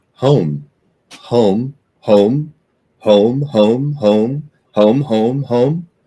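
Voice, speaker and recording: A man's put-on character voice at a medium pitch, very slow, with long, frequent pauses. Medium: actual play. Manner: repeats fragments in others' voices.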